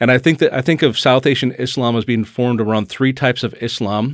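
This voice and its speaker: With an American accent, a man speaks in an unremarkable speaking voice at medium pitch, with ordinary pitch variation, in a very clean recording with a silent background. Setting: studio.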